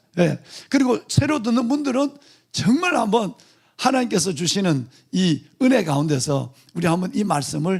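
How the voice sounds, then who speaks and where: His pitch swings very widely. The man's voice sits high. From Gyeongsang region, South Korea. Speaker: pastor. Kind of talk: sermon. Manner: fast.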